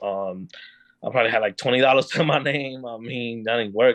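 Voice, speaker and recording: The man's voice sits at a medium pitch with fairly even intonation. He talks at a fairly quick pace. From Dominican Republic, then Bronx, New York. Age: 30s. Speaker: podcast guest. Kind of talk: casual chat. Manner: halting, many fillers.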